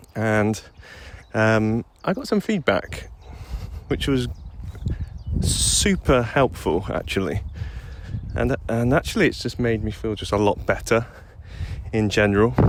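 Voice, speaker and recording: A man speaks at a fairly slow pace with long, frequent pauses. Noticeable background noise sits behind him. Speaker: rollerblading vlogger. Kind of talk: casual voice memo monologue. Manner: hesitant, many fillers; quiet at the start, getting louder.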